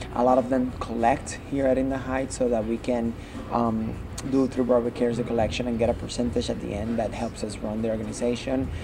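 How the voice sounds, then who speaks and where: Through noticeable background noise, a man with a medium pitch speaks at a fairly quick pace. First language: Spanish. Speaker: Broadway performer and arts organization founder. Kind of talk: interview. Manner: halting, frequent repetitions.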